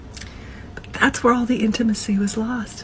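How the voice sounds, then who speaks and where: A woman speaks over noticeable background noise. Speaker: divorced single mother. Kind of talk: casual talk to camera.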